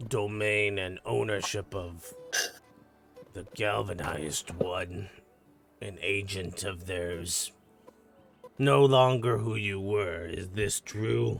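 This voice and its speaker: A man does a raspy, put-on character voice at a fairly low pitch. He goes very slowly, with long, frequent pauses. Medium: actual play. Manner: blunt, proud.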